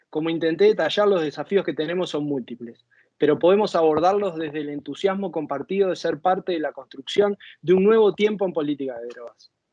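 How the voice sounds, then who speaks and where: This speaker moves at a fairly quick pace. The pitch shifts an ordinary amount. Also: man. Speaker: former drug policy official. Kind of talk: conference talk. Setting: virtual conference.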